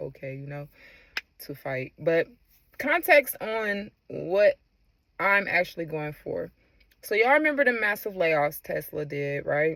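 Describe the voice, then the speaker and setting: At moderate speed, a woman is talking. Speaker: former Tesla employee. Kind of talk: casual talk to camera. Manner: hesitant, unscripted.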